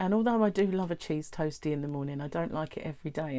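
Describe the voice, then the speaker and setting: The speaker talks with a British accent and lively intonation. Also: woman. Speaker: weight-loss vlogger. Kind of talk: casual talk to camera.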